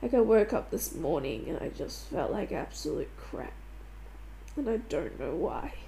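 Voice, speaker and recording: Her voice has audible room echo. The woman speaks at a moderate pace. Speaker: podcast host. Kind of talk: personal monologue. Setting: at home on couch.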